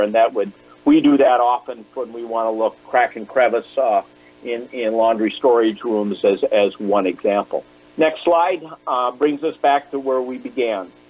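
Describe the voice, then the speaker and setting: Music plays in the background as a man speaks at a moderate pace in a medium pitch. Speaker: infection control lecturer. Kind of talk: lecture. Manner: hesitant, many fillers.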